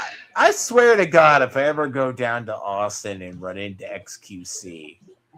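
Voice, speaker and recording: A man with a slight Texan accent speaks in big swings of loudness. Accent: slight Texan southern drawl. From Texas, US. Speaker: streamer. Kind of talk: casual chat.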